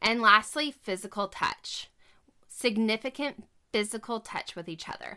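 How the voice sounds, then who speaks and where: In an animated tone, a woman with a fairly high pitch speaks at a moderate pace, her pitch varying in an ordinary way. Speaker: podcast host. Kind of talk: casual conversation with scripted segments.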